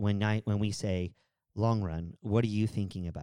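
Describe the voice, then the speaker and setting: A man with an ordinary speaking voice talks at a moderate pace and a fairly low pitch. The sound is dry and close, with no echo. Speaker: podcast host and running coach. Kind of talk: casual chat podcast.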